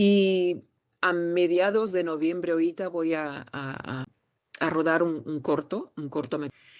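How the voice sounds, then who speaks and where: A woman speaks with ordinary pitch variation. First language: Portuguese (speaking Spanish). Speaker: actress. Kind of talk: interview.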